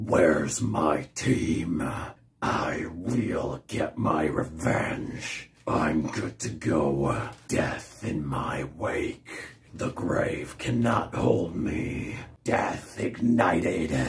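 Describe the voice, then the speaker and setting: A man does a put-on character voice at a very slow pace. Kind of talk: video game character impression. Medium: solo performance. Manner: menacing, cold, contemptuous.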